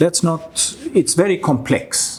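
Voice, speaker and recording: A man is talking. The background noise is noticeable. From Sweden. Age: 60s. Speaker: business owner. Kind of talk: interview.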